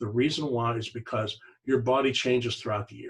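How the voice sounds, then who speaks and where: A man's somewhat breathy voice at a medium pitch, very fast pace, and fairly even intonation. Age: 60s. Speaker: network marketing distributor. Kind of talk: sales pitch. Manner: casual.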